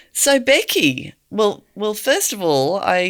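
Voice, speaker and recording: A woman with an Australian accent at a very slow pace, her pitch swinging very widely. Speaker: podcast host. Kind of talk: podcast interview.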